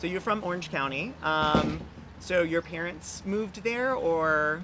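Over noticeable background noise and audible room echo, a man with a high pitch talks at a fairly slow pace with ordinary pitch variation. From North Carolina, small town. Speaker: podcast host. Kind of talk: casual interview chat. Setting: coffee shop. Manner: casual, filler-heavy.

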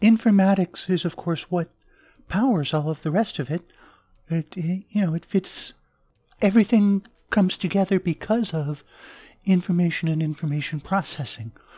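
A woman with an American accent talks at a fairly low pitch in a dark, mellow, somewhat breathy tone, with ordinary pitch variation. Her pace is moderate with long, frequent pauses, and the sound is dry and close with no echo. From southern Arizona, US. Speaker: author. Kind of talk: interview.

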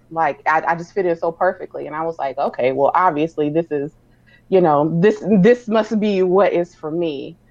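Her pitch fairly low with ordinary variation, a woman speaks at a moderate pace. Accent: American. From South Carolina (Sumter), US South. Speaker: celebrity publicist. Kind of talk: casual interview chat.

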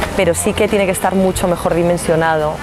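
A woman talks at a very fast pace with a medium pitch and ordinary pitch variation. Noticeable background noise runs underneath. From Galicia, Spain (Pontevedra). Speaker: former party president, politician. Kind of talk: interview. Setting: outdoors.

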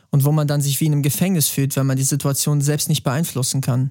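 An ordinary speaking voice from a man, fairly high in pitch and at a fairly quick pace. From Bavaria, Germany. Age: 30s. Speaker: singer-songwriter. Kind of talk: podcast interview.

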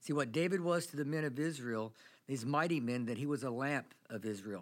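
On a very clean recording with a silent background, a man with a fairly high pitch and a plain, everyday voice speaks at a moderate pace with ordinary pitch variation. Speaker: pastor. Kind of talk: sermon.

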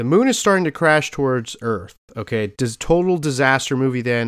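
Over a silent background in a very clean recording, a man's medium-pitched voice carries lively intonation. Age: 30s. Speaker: podcast host. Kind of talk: casual chat. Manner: halting, many fillers and repeats.

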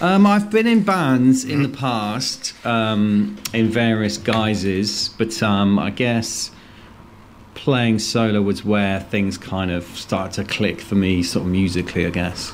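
Very slow speech from a man, pitched fairly low and with ordinary rises and falls. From English West Midlands, near Worcester. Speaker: blues rock musician. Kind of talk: casual radio interview.

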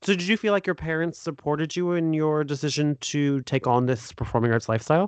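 Against a quiet background, a man with an American accent talks at a very fast pace with hardly any pauses, the sound dry and close with no echo. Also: fairly high pitch for a man, ordinary pitch variation. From United States. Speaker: podcast host. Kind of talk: casual interview. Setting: remote call.

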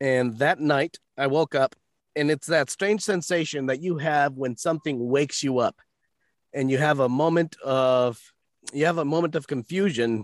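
A normal speaking voice at a moderate pace with ordinary pitch variation, a dry, close sound with no echo and a quiet background. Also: man. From United States, born in Mexico. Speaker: voice actor and podcast host. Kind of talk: storytelling in casual interview.

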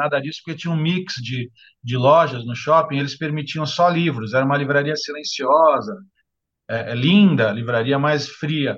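This man talks at a moderate speed, his pitch shifting in an ordinary way. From Santos, São Paulo state, Brazil. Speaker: bookseller and author. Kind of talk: interview conversation. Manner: halting, frequent word repetitions. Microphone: lower audio quality due to bad internet.

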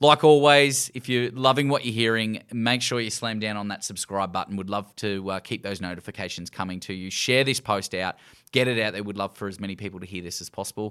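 A man with an Australian accent at a fairly quick pace and fairly low pitch, ordinary pitch variation, big swings in loudness and hardly any pauses, in a very clean recording with a silent background. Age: 30s. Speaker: podcast host. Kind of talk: casual chat.

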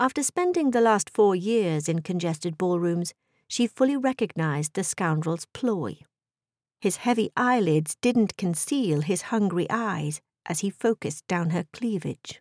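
A woman speaks at a medium pitch and a fairly slow pace, with lively intonation. The recording is very clean with a silent background, dry and close with no echo. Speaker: audiobook narrator.

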